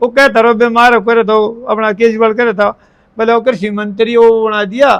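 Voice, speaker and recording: A man's extremely high-pitched voice in a monotone, flat delivery. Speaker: buffalo breeder and former wrestler. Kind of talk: casual interview.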